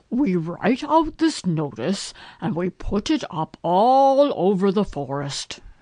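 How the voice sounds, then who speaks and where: In a put-on character voice, a female-sounding speaker uses a pompous tone at a fairly slow pace, with a middle pitch and very wide pitch swings. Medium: read story. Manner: pompous, long-winded.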